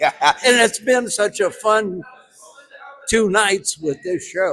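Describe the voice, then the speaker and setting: Very slow, high-pitched speech from a man, ordinary in pitch variation, over noticeable background noise. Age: 70s. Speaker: actor. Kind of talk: casual interview at movie premiere. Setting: movie premiere at a cinema.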